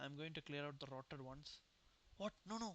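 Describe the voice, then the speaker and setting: At a moderate pace, someone talks with a non-native accent. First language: not English. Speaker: game streamer. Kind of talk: gameplay commentary, reading game dialogue aloud.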